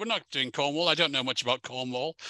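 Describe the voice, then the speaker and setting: Against a quiet background, a man with an English accent speaks in a bright, sharp tone. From England. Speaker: historian giving a museum talk. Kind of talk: lecture. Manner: repetitive, many fillers and false starts.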